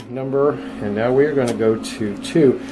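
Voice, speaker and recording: Audible room echo and noticeable background noise both come through as a man talks. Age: 60s. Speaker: dentist demonstrating endodontic technique. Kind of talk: tutorial. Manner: casual, with frequent filler words.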